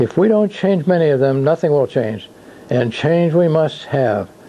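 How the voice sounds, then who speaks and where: This man talks at a moderate pace with lively intonation and a fairly high pitch, over noticeable background noise. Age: 80s+. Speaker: independent presidential candidate. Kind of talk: campaign announcement speech. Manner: formal.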